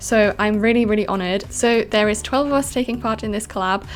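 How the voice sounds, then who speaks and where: With a German accent, a woman talks at a very fast pace in a medium pitch over noticeable background noise. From Austria. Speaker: YouTuber, game builder. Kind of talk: casual voiceover commentary. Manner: animated.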